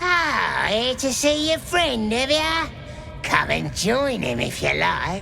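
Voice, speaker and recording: A put-on character voice speaks high at a fairly slow pace. Loud music plays in the background. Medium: machinima. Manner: sneering, taunting.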